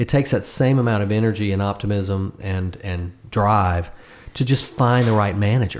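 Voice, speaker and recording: The man has an unremarkable speaking voice. His pitch is fairly low and his pace moderate. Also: ordinary pitch variation. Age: 60s. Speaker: songwriter and guitarist. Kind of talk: casual chat.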